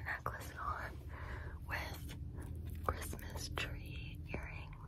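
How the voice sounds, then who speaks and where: A soft-spoken woman whispers in a playful tone. Loud noise fills the background. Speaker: ASMR livestreamer. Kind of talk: soft casual ASMR chat. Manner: soft, playful ASMR whisper. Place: home room. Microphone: phone near.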